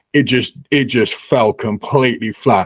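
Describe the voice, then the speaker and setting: A man with an English accent is recorded with a dry, close sound with no echo. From England. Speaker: crypto newsletter writer. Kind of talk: casual chat.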